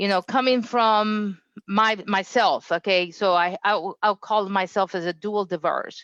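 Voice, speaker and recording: A woman at medium pitch with ordinary pitch variation and a moderate pace, recorded dry and close with no echo against a quiet background. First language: not English. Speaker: engineering quality director. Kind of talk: interview. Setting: livestream.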